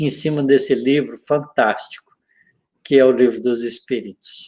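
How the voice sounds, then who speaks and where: At a very slow pace, a man speaks with a fairly high pitch and fairly even intonation. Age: 70s. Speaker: physics professor and spiritist speaker. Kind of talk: religious study discussion.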